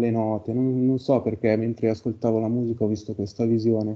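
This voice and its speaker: A man talks at a fairly quick pace while the background stays quiet. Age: 30s. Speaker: carpenter and session client. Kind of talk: casual chat. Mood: reflective, calm. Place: home room.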